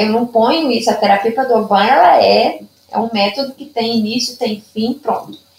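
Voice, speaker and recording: A woman is speaking. Her pitch sits fairly high. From Minas Gerais, Brazil (Zona da Mata). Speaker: Padovan method therapist. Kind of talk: interview.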